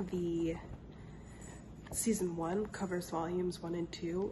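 There is noticeable background noise. A woman speaks at a medium pitch. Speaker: book vlogger. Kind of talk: casual talk to camera.

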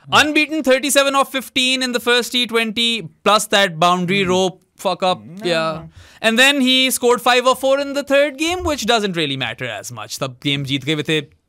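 With a raised, projected voice, a man speaks at an extremely high pitch in a bright, sharp tone, his pitch swinging very widely, on a very clean recording with a silent background. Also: moderate pace, hardly any pauses. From Pakistan. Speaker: cricket podcast co-host. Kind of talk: casual sports discussion. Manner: animated.

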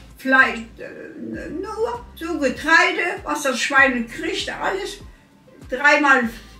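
A woman speaks very slowly in a raised, projected, high-pitched voice, with lively intonation and big swings in loudness. Audible room echo and faint background music surround her. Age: 80s+. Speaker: elderly interviewee; interviewee. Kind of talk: interview. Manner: halting. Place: kitchen.

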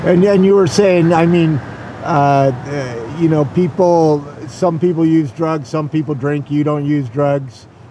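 A man talks at a fairly slow pace with hardly any pauses, his fairly high pitch showing ordinary variation. There is noticeable background noise. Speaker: interviewer. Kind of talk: interview question.

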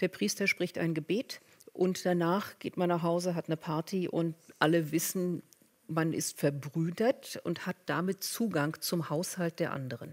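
Very clean and set against a silent background, the recording has a woman with an unremarkable speaking voice at a fairly low pitch, speaking at a fairly slow pace with ordinary pitch variation. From Berlin, Germany. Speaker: professor. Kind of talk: panel discussion. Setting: stage with audience.

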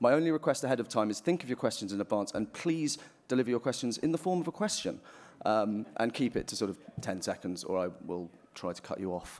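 A very fast pace with very wide pitch swings. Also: man, medium pitch for a man. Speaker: event moderator and editor. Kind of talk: moderated panel discussion. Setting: stage with live audience. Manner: casual and jokey. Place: hall. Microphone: podium.

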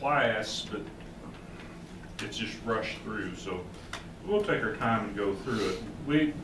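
Amid noticeable background noise, a man talks at a fairly slow pace with long, frequent pauses and ordinary pitch variation. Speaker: Bible class teacher. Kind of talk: lecture. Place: church. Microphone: camera far.

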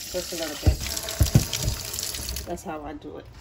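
A woman's voice against loud background noise. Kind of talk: tutorial. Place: kitchen. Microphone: phone near.

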